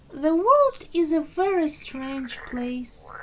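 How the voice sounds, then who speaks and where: A woman's put-on character voice at extremely high pitch and a very slow pace. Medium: read story. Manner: dry, wry.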